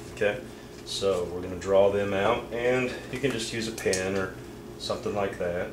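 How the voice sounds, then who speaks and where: A man with a fairly low voice talks at a moderate pace, with audible room echo and noticeable background noise. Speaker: puppet maker. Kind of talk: tutorial. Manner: halting, many fillers.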